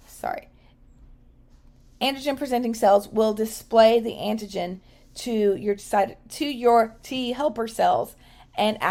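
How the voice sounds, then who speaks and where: A woman uses a raspy, put-on character voice at a fairly high pitch. She talks at a fairly slow pace with ordinary pitch variation and long, frequent pauses. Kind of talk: explanatory, lecture-like. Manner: stuttering, self-correcting.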